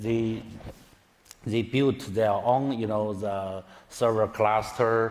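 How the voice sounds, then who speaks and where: Speaking at a fairly slow pace, a man with a non-native accent talks at a medium pitch. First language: Chinese. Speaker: tech executive. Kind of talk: conference talk. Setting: stage with audience. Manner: halting, many fillers.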